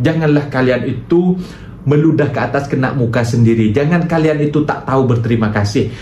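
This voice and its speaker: Over noticeable background noise and audible room echo, a man with an Indonesian accent speaks at a fairly quick pace, his fairly high-pitched voice very even in loudness and ordinary in pitch variation. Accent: Indonesian-accented Malay. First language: Indonesian (speaking Malay). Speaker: reaction video youtuber. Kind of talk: reaction commentary. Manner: animated.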